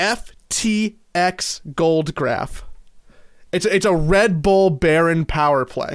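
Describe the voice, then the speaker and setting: Recorded very cleanly against a silent background, a man speaks very slowly, his high pitch showing ordinary variation. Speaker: esports podcast co-host. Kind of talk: casual chat.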